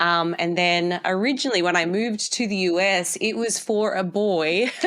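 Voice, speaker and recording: In an Australian accent, a woman talks at a moderate pace and medium pitch, with ordinary pitch variation and very even loudness. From Australia, Tasmania. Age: 30s. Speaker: dietitian and physique coach. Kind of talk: podcast interview. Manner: hesitant, many fillers.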